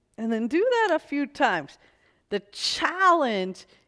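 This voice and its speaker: Speaking very slowly with an American accent, a woman lets her pitch swing very widely. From US Northeast, New York City. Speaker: pilates instructor. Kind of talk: exercise class instruction. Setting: video shoot in New York City.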